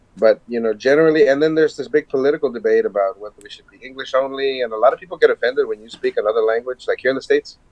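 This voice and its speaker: A man with an American accent at a very fast pace, hardly any pauses, big swings in loudness, a dry, close sound with no echo and noticeable background noise. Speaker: podcast guest, musician. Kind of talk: casual chat.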